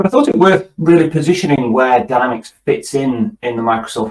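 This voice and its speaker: Speaking at a fairly quick pace, a man talks with a British accent. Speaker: tech company executive. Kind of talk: webinar presentation. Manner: hesitant, repeats words.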